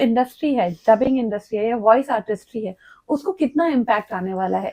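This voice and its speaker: This woman's voice sits fairly high and swings very widely in pitch. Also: dry, close sound with no echo. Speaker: podcast host. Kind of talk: podcast interview questions.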